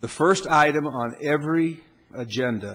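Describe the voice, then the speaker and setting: The man's speech has ordinary pitch variation. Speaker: presiding council official. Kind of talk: formal meeting procedure announcement. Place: hall.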